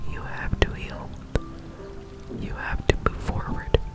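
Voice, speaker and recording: Whispering from a woman at a fairly slow pace, with noticeable background noise. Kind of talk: reading from a book, gentle affirmations. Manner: soft whispering.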